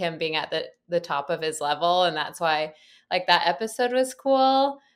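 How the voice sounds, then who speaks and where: A woman's animated, lively-intoned voice at a fairly slow pace, in a very clean recording with a silent background. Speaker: guest co-host, fashion correspondent. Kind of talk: casual chat. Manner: animated, laughs often.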